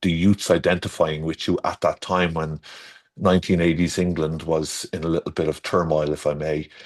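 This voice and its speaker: A man's very deep, low voice in an Irish accent, monotone and flat, at a moderate pace. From Ireland. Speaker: garden designer. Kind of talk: casual chat. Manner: halting.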